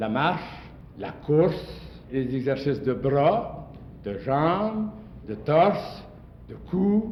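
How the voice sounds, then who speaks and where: Pausing long and often, a man speaks at a fairly high pitch with very wide swings. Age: 80s+. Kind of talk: interview answer.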